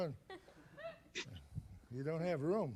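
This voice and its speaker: Audible room echo trails a man's speech. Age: 70s. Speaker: magician. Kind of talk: stage magic performance.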